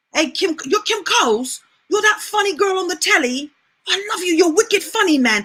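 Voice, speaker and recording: A put-on character voice with a strong London accent, pitched extremely high and delivered at a moderate pace. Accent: thick British (London). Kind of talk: casual, slangy.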